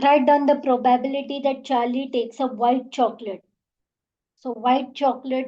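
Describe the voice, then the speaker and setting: A woman's high, monotone voice with flat intonation at a moderate pace. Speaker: maths teacher. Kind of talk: tutorial.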